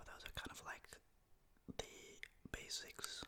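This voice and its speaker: Someone whispers with a Dutch accent. Noticeable background noise can be heard. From Netherlands. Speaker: ASMR content creator. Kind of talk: ASMR language tutorial. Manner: soft-spoken; casual, animated.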